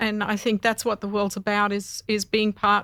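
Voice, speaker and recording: A woman's fairly high voice in an Australian accent, on a very clean recording with a silent background. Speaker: mother of musicians, interview guest. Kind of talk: interview. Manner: halting, many fillers.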